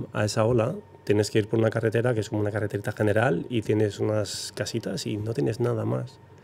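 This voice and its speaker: This man speaks very fast, with a fairly low pitch. There is vocal fry, and his pitch varies in an ordinary way. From Basque Country, Zarautz. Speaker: professional big-wave surfer. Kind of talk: interview.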